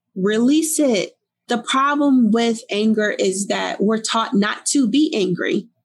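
With a Newark accent, a woman speaks at a fairly high pitch. Her pace is very slow. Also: lively intonation, very even loudness. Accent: New Jersey, Newark urban. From Newark, New Jersey. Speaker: author and life coach. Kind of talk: casual interview conversation.

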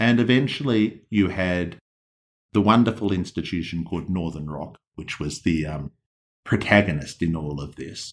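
Captured in a very clean recording with a silent background, a man with an Australian accent speaks at a very deep, low pitch with big swings in loudness. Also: lively intonation, moderate pace. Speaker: hedge fund manager. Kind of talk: interview. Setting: in person.

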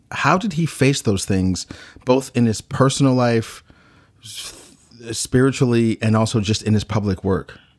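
An ordinary speaking voice: a man at medium pitch and a fairly slow pace, with ordinary pitch variation. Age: 40s. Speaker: podcast host. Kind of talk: documentary narration and interview.

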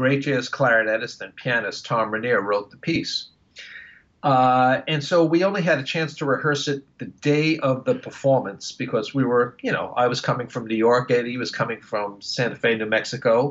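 A man with an American accent, medium pitch and ordinary pitch variation, an ordinary speaking voice at a moderate pace. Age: 60s. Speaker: woodwind musician and retired music professor. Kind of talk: interview.

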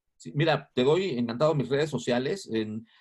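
The man's intonation is lively. His pace is moderate. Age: 50s. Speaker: advertising agency founder. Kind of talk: interview. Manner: energetic.

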